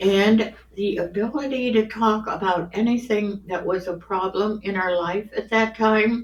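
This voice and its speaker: The speaker uses fairly even intonation against noticeable background noise. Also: woman, fairly high pitch for a woman, fairly slow pace, hardly any pauses. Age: 80s+. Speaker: grandmother sharing life stories. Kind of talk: casual interview. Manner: halting.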